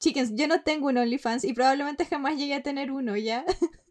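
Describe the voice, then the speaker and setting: A woman talks at a fairly quick pace with a high pitch, ordinary pitch variation and a Chilean accent. The recording is very clean, with a silent background. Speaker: podcast co-host. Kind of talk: casual chat.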